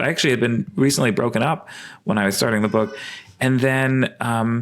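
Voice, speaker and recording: A man talks in a New York accent. His pace is fairly quick. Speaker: evolutionary biologist and sex researcher. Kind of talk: podcast interview. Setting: at home, remote call. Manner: hesitant, many fillers.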